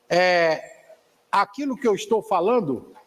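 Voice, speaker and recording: Lively intonation from a man with a high pitch. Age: 60s. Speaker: spiritist course teacher. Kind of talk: lecture; discussion with a student.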